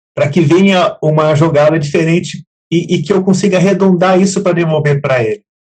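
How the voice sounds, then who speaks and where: A man talks at a fairly quick pace in a high pitch. His intonation is fairly even and his loudness very even. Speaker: program host. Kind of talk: live talk show hosting. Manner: relaxed, conversational.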